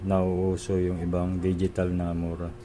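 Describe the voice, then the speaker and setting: A soft-spoken man talks at a fairly slow pace in a very deep, low voice with a dark, mellow tone. His intonation stays monotone and flat. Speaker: DIY video maker. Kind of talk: tutorial.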